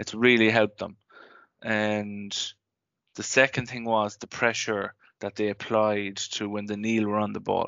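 With an Irish accent, a man speaks in a fairly low pitch with monotone, flat intonation and long, frequent pauses. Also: fairly slow pace. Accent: Irish (Mayo). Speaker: sports podcast host. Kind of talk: casual chat.

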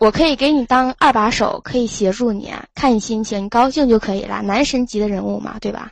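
With an unremarkable speaking voice, a woman talks at a fairly quick pace with hardly any pauses, her fairly high pitch showing ordinary variation. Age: 20s. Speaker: university student. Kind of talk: casual chat. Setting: call-in from dorm room.

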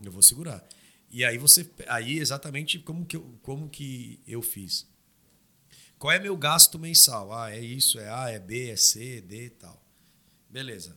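Speaking at a fairly slow pace with long, frequent pauses, a man with a medium pitch and a bright, sharp tone uses lively intonation and big swings in loudness, in a very clean recording with a silent background. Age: 30s. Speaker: knife maker and labor consultant. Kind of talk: casual chat. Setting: studio.

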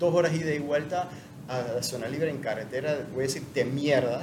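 With audible room echo and noticeable background noise, a man speaks at a fairly high pitch with fairly even intonation. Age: 50s. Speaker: CrossFit athlete. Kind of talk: casual interview.

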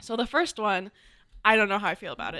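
In a very clean recording with a silent background, a woman speaks in a bright, sharp tone with a dry, close sound and no echo. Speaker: college podcast host. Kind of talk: casual chat.

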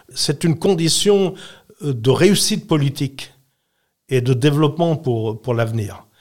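Somewhat breathy, a man with a fairly high pitch speaks at a very slow pace. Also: very clean recording, silent background. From Switzerland, Valais (Saxon). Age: 80s+. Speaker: retired politician. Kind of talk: interview.

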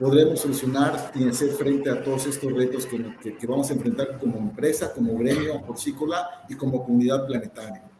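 In a fairly high pitch, a man speaks at a moderate pace with ordinary pitch variation. Room echo and noticeable background noise can be heard. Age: 40s. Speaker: corporate sustainability director and university lecturer. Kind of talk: live webinar panel discussion. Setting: online webinar, live stream.

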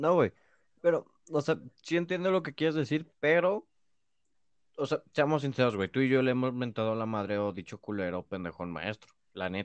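A man with a Mexican accent speaks at a medium pitch with very wide pitch swings, recorded dry and close with no echo. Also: moderate pace. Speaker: podcast co-host. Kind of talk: casual chat.

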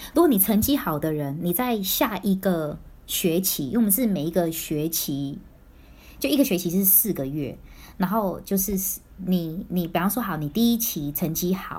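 Her intonation is lively as this woman speaks at a moderate pace with a medium pitch and a somewhat breathy quality. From Taiwan, then Singapore and Vancouver from early teens. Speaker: former overseas student. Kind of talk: casual chat.

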